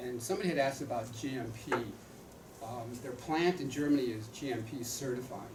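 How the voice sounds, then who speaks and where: A man speaks at a medium pitch with ordinary pitch variation. Noticeable background noise and audible room echo accompany him. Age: 70s. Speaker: retired doctor and author endorsing supplements. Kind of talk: product presentation to audience. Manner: animated.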